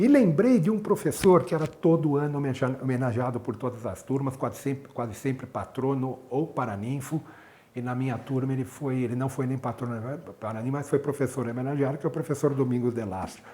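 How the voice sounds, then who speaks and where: Speaking at a fairly quick pace, a man with a medium-pitched, dark and mellow voice sounds somewhat breathy, with ordinary pitch variation. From Brazil, São Paulo. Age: 60s. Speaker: cardiologist and medical professor. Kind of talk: interview, personal recollection. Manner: halting, with repetitions.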